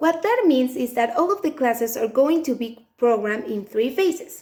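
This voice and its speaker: A woman with a Mexican accent talks at a moderate pace, her high voice full of lively intonation. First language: Spanish. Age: 20s. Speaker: English teacher. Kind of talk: self-introduction video.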